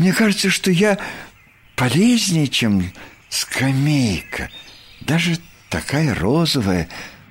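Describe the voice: Putting on a character voice, a man speaks slowly at a fairly high pitch with big pitch swings and a slightly husky edge.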